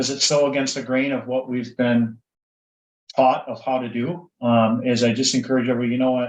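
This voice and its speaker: The speaker has a Minnesotan accent and talks at a fairly quick pace. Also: man. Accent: Minnesota. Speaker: insurance broker. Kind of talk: casual interview.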